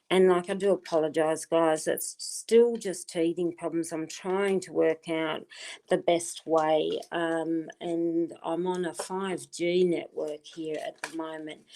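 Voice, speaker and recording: A woman speaks at a very slow pace with hardly any pauses, in a fairly low pitch and a dark, mellow tone. Her intonation is monotone and flat, while her loudness swings widely. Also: very clean recording, silent background. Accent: Australian. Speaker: tarot card reader. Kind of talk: live stream card reading. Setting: live stream on wifi.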